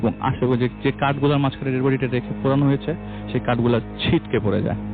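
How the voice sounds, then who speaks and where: A man is talking. Background music accompanies his voice. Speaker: radio guest and storyteller. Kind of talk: ghost story telling on radio.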